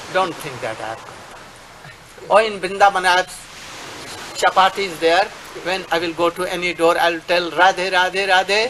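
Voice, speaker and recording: Over noticeable background noise, a man with an Indian accent and a high pitch projects a raised voice at a fairly slow pace, with fairly even intonation and big swings in loudness. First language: Hindi or Bengali. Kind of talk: address to followers. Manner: halting.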